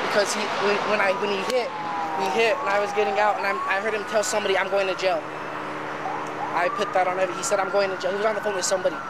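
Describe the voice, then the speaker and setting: Amid loud background noise, a man talks at a very fast pace. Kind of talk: explaining an accident to police. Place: street. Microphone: camera far.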